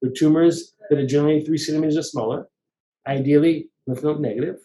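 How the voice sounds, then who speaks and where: This man speaks very fast in a fairly high pitch. His tone is dark and mellow. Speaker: breast cancer surgeon. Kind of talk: webinar Q&A interview. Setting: online webinar. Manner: halting, many restarts.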